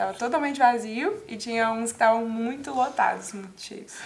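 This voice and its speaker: A woman talks at a fairly quick pace in a fairly high pitch with ordinary pitch variation. Noticeable background noise runs behind her. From Espírito Santo, Brazil (Guarapari). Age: 20s. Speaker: psychology student. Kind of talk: casual interview. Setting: TV studio.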